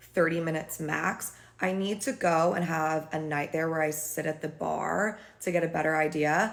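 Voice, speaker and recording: A woman with an American accent speaks in a fairly low voice marked by vocal fry. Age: 30s. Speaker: beauty and lifestyle vlogger. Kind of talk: casual vlog recap.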